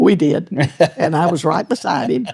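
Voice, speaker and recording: In a Texan accent, a woman speaks at a fairly low pitch and moderate pace, her dark, mellow tone marked by vocal fry and very wide pitch swings. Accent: Texan Southern. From East Texas. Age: 90s. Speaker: hunter. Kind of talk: interview answer.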